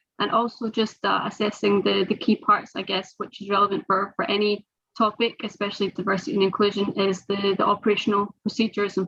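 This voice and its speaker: With a Scottish accent, a woman talks at medium pitch and a fairly quick pace. Her tone is bright and sharp, with vocal fry and fairly even intonation. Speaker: sports governance professional. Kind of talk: panel webinar discussion. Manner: halting, many fillers.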